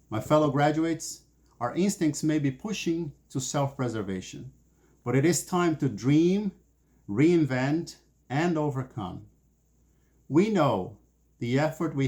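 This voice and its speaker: A man speaks with a Portuguese accent at a moderate pace and medium pitch. His tone is dark and mellow, somewhat breathy, with lively intonation. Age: 40s. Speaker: graduate student, former broadcast journalist. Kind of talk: commencement speech. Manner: formal.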